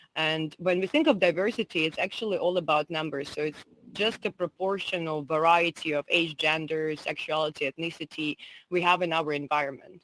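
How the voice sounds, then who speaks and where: The speaker has a Russian accent and a fairly even intonation. The pace is fairly quick, and the sound is dry and close with no echo. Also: woman, fairly low pitch for a woman. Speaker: entrepreneur and digital strategist. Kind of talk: conference talk.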